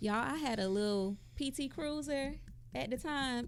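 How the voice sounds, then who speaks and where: Speaking with a Southern accent, a woman talks at a fairly slow pace in an animated tone with ordinary pitch variation. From Mississippi, US South. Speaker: podcast co-host. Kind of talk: casual chat.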